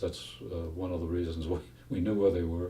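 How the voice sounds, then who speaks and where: A man's very deep, low voice with an American accent, dark and mellow in tone, somewhat breathy, in a monotone, flat delivery, with audible room echo. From Massachusetts. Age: 80s+. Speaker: retired FBI agent. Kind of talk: interview testimony. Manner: halting, many fillers.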